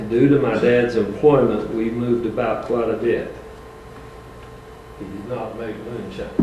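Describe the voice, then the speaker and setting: With monotone, flat intonation and big swings in loudness, a man speaks at a fairly slow pace with long, frequent pauses. Audible room echo and noticeable background noise are present. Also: medium pitch for a man. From Tennessee mountains. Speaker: retired school bus driver. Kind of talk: reading aloud a prepared speech. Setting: school board meeting.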